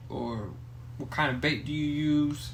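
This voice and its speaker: Fairly high male pitch with a Spanish accent, fairly even intonation and audible room echo. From Mexico. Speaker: podcast host. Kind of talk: casual chat.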